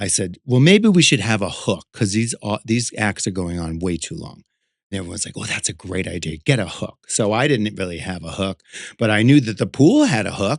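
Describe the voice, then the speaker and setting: Over a quiet background, a man with an American accent talks at a fairly quick pace in a fairly low pitch, using lively intonation and big swings in loudness, in an ordinary speaking voice. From Connecticut, USA. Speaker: drag performer and artist. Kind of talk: interview answer. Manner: casual, chatty.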